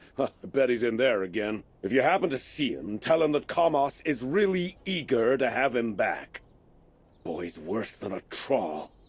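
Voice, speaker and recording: Putting on a character voice, a man speaks at a moderate pace in a medium pitch with very wide pitch swings. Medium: video game. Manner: blustery, quick-tempered.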